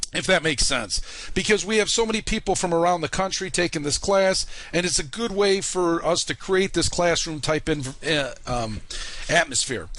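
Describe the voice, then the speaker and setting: In a Chicago accent, a man speaks at a moderate pace with a high pitch and ordinary pitch variation. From US Midwest, Chicago. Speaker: online college instructor. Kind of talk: course introduction video. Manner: casual, many fillers.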